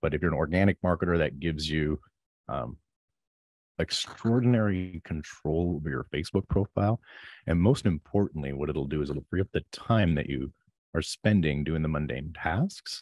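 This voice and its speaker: Over a silent background in a very clean recording, a man speaks at a moderate pace with vocal fry and ordinary pitch variation, the sound dry and close with no echo. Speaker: marketing software creator. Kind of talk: interview about marketing tactics.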